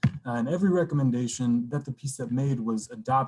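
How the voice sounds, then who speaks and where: Somewhat breathy, the man's dark, mellow voice shows ordinary pitch variation. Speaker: community committee volunteer presenter. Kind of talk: public meeting presentation. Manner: quiet; halting, many fillers. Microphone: computer mic, quiet.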